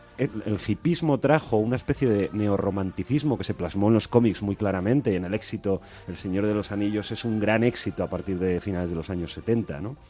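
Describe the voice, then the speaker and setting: The speaker has hardly any pauses and ordinary pitch variation. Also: man, fairly low pitch for a man. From Spain, Asturias. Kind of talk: panel discussion. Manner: halting, many repetitions.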